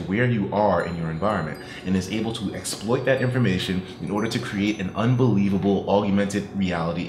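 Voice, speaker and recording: Amid light background noise and audible room echo, a fairly low-pitched man talks at a very fast pace with ordinary pitch variation. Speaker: gaming commentator. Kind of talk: commentary. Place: home room.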